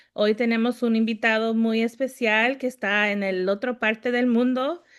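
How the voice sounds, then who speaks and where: Over a quiet background, a woman with an ordinary speaking voice and fairly high pitch talks at a moderate pace with fairly even intonation. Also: very even loudness. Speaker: podcast host. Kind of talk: podcast intro in Spanish.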